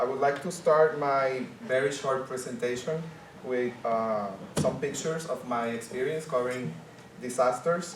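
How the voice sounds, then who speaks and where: A man's medium-pitched voice in a Spanish accent with ordinary pitch variation and a moderate pace, along with audible room echo and noticeable background noise. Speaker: journalist. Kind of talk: conference panel presentation. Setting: conference panel with audience.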